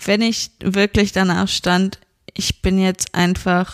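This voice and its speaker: The sound is dry and close with no echo. The speaker is a woman. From Germany, Frankfurt area. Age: 20s. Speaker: podcast guest. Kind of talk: casual chat. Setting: host's living room.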